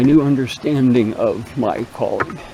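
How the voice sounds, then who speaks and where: This man speaks very slowly in a relaxed tone, his pitch medium with ordinary variation, over noticeable background noise and audible room echo. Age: 70s. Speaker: spiritual vlogger. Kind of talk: casual vlog monologue. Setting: outdoors, hiking a woodland trail. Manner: relaxed, rambling with fillers.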